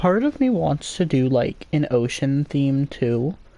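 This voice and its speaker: A man speaks very slowly and quietly in a fairly high pitch. His tone is dark and mellow. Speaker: gaming streamer. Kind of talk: casual live stream chat. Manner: quieter while browsing.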